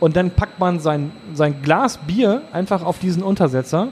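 Noticeable background noise accompanies the clip. A man speaks at a high pitch with ordinary pitch variation. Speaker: podcast host. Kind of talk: casual chat. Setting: brewhouse.

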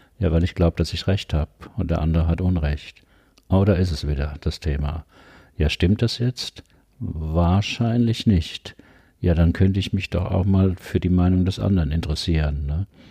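In a dry, close recording with no echo and a silent background, a man with a very deep, dark, mellow, somewhat breathy voice speaks at a moderate pace with ordinary pitch variation. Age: 70s. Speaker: psychologist and leadership coach. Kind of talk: interview conversation. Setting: his practice.

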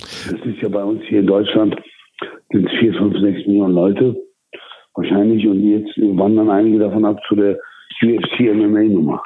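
Moderate pace, monotone, flat intonation and long, frequent pauses, with audible room echo. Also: man, fairly low pitch for a man. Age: 40s. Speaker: boxing promoter. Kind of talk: interview. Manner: halting.

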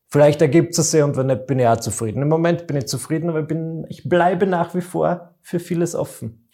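Hardly pausing, a man talks at a fairly quick pace in a fairly high, dark, mellow voice with ordinary pitch variation. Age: 20s. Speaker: entertainer, podcast co-host. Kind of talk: casual chat.

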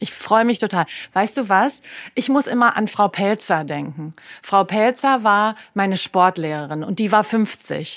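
In an ordinary speaking voice, a woman talks at a medium pitch and fairly slow pace. Her intonation is lively, and the recording is very clean with a silent background. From Germany, Berlin. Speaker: health coach and former fashion creative director. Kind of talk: casual interview conversation.

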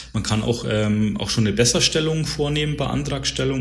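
Amid noticeable background noise and audible room echo, a man speaks at a fairly quick pace with lively intonation. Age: 30s. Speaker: insurance broker account manager. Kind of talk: podcast interview.

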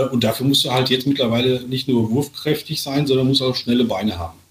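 Noticeable background noise sits behind a man of medium pitch. He speaks at a moderate pace with fairly even intonation. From Sauerland, western Germany. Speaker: author, speaker and athlete coach. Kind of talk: casual chat.

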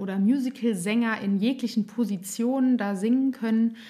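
Her voice fairly high and somewhat breathy, a woman talks at a moderate pace. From Germany, Nassau (Rhineland-Palatinate). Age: 30s. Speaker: speech therapist and singer. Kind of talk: interview; guided voice exercise.

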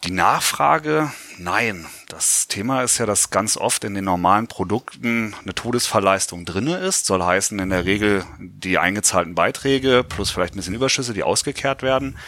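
A bright, sharp tone with lively intonation at a moderate pace. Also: man, fairly low pitch for a man. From Lower Saxony, Germany (Göttingen). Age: 40s. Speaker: insurance pension expert. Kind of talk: podcast interview.

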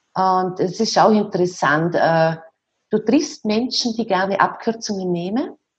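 A woman speaks in a somewhat breathy voice. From Austria, rural. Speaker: dance teacher and author. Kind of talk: interview.

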